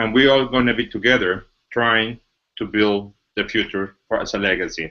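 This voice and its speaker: With a Mexican accent, a man speaks at medium pitch with fairly even intonation. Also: moderate pace. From Mexico. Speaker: business executive presenting a company. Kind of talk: webinar presentation. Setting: online webinar.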